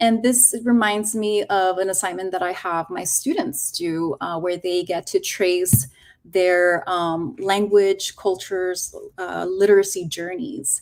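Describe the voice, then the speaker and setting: A woman with a Spanish accent talks at a fairly slow pace and medium pitch with ordinary pitch variation, on a very clean recording with a silent background. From Los Angeles, moved from Mexico as a child. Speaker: teacher educator. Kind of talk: educator workshop presentation.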